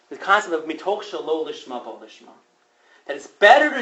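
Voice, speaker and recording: Audible room echo surrounds a man's voice. He talks at a fairly quick pace in an animated tone. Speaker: rabbi and teacher. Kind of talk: lecture. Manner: fast.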